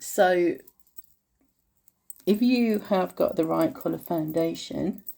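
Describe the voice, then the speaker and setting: A woman with an English accent. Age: 50s. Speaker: beauty vlogger. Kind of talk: makeup tutorial. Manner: casual, chatty with fillers.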